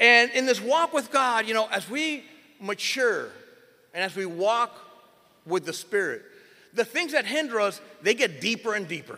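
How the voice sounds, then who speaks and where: With a raised, projected voice and a bright, sharp tone, a man speaks at an extremely high pitch. His intonation is lively, with long, frequent pauses. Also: moderate pace. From Miami. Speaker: pastor. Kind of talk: sermon.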